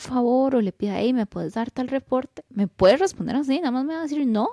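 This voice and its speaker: A high-pitched woman with a Costa Rican accent, a dark, mellow tone and lively intonation, on a very clean recording with a silent background and a dry, close sound without echo. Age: 30s. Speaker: podcast co-host, engineer. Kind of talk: casual chat.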